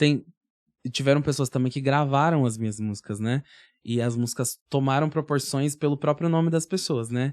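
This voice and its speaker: A man's fairly high-pitched voice at a moderate pace with ordinary pitch variation, its sound dry and close with no echo over a quiet background. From Curitiba, southern Brazil. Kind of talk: casual chat.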